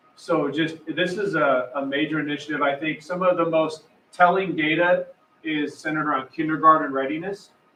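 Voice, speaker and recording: A man talks at a fairly quick pace with a fairly high pitch. Noticeable background noise sits behind him. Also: fairly even intonation. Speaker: school district superintendent. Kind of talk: presentation at public meeting. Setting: public meeting with microphone. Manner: loud.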